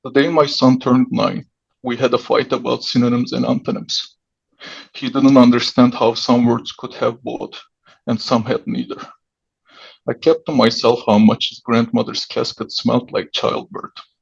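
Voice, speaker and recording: The speaker talks at a moderate pace with a Turkish accent. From Turkey. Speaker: writer. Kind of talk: reading aloud.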